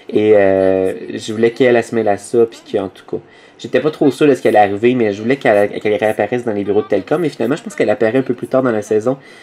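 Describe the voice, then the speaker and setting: A man's medium-pitched voice, very fast, with fairly even intonation. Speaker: machinima series creator. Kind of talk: audio commentary. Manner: improvised, hesitant.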